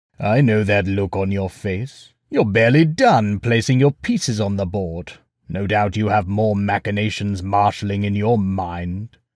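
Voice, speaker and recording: Putting on a character voice, a man talks at a moderate pace and fairly low pitch with hardly any pauses, recorded very cleanly against a silent background. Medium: read story. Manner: commanding, lordly.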